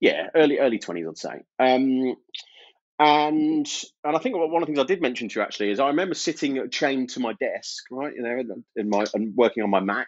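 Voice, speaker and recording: With a Birmingham accent, a man speaks at a fairly quick pace in a fairly high pitch, his intonation lively. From Birmingham, English Midlands. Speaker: IT service management consultant. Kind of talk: podcast interview. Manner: casual, hesitant with fillers.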